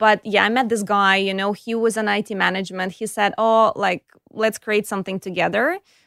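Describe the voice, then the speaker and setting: With a slight Eastern European accent, a woman talks at a fairly quick pace in a medium pitch and fairly even intonation, captured on a very clean recording with a silent background. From Ukraine, Kyiv. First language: Russian or Ukrainian. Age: 30s. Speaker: tech startup founder and CEO. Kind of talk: interview.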